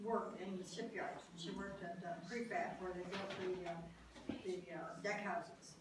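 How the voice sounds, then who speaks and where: There is noticeable background noise and audible room echo as a woman speaks with lively intonation. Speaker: World War II shipyard draftsman, park docent. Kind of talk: oral history talk. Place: meeting room. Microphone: camera far.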